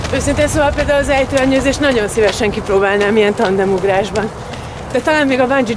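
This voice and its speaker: At a very fast pace, a woman speaks with audible room echo and noticeable background noise. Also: very even loudness. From Hungary, near Pécs, Croatian minority family. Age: 30s. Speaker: actress and amateur runner. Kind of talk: interview.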